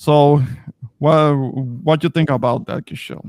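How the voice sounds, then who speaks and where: A man talks with a strong Spanish accent. The sound is dry and close, with no echo. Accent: thick Spanish. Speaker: streamer. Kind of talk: casual discussion. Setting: live stream. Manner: halting.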